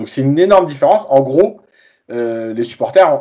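Keeping a moderate pace, a man talks with lively intonation in an unremarkable speaking voice. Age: 40s. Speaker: football coach and reporter. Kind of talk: casual chat.

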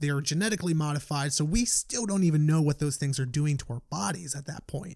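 A man talks at a very fast pace in a fairly high, somewhat breathy voice with ordinary pitch variation. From New York, the Bronx. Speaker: fitness entrepreneur. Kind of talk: casual interview chat.

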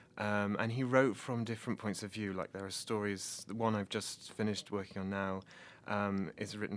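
A man with an English Midlands accent, monotone and flat in intonation, at a fairly quick pace, on a very clean recording with a silent background. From England, Nottingham. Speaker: PhD student and translator. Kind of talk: interview.

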